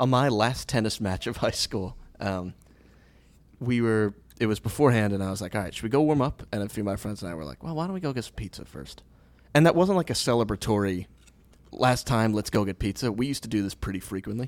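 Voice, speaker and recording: In a very clean recording with a silent background, a man with a fairly low pitch speaks very fast, his intonation lively and his loudness swinging widely. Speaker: podcast co-host. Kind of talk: casual chat.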